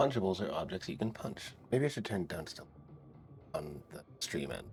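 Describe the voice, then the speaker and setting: A fairly low-voiced man talks at a moderate pace with very wide pitch swings and big swings in loudness. Music plays in the background. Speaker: video game streamer. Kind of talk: casual live stream chat with gameplay. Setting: live stream, wearing headphones. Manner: animated.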